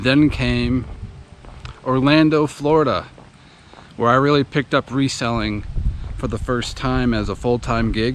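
A man at a fairly slow pace, with long, frequent pauses, dry sound with no echo and light background noise. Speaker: reseller vlogger. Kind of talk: casual vlog chat. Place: street. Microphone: phone near.

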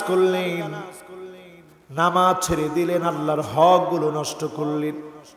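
A man with a high-pitched voice speaks in a raised, projected way. Room echo is audible. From Bangladesh. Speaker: Islamic preacher. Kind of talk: sermon. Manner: emotional. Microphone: podium.

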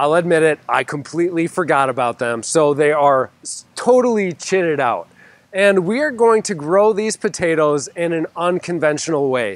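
A man at a moderate pace with lively intonation, the sound dry with no echo. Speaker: gardening channel host. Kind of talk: casual vlog chat. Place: garden. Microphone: lapel.

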